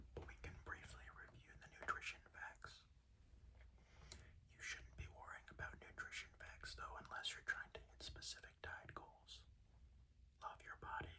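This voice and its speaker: Long pauses come often as someone whispers at a moderate pace. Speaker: ASMR creator. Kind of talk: ASMR whisper video. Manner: whispered.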